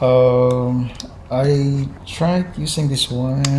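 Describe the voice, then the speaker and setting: A strong Visayan accent amid noticeable background noise. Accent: thick Visayan accent in Tagalog. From Visayas, Philippines. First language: Visayan (Cebuano). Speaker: YouTuber. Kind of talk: casual vlog. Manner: halting, many fillers.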